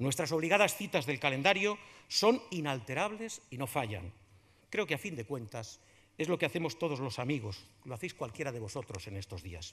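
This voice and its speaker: A man's fairly high voice at a moderate pace with very wide pitch swings. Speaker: radio journalist introducing the proclaimer. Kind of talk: formal speech of introduction; formal ceremonial speech. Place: stage. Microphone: podium.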